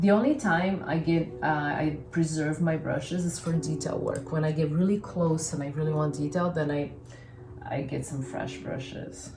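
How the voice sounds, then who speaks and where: Over music in the background and with audible room echo, a woman with a Brazilian accent speaks at a moderate pace and a very deep, low pitch, with ordinary pitch variation. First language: Portuguese. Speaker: painter. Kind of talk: casual painting tutorial.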